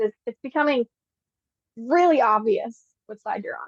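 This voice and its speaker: Speaking at a moderate pace in a Pennsylvania accent, a woman uses a high pitch that swings very widely. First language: Pennsylvania Dutch. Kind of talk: casual interview conversation.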